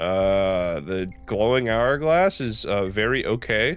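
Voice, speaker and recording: Over music in the background, a man with a fairly low pitch speaks in a relaxed tone with lively intonation. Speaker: gaming commentator. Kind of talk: let's play commentary. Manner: casual, relaxed.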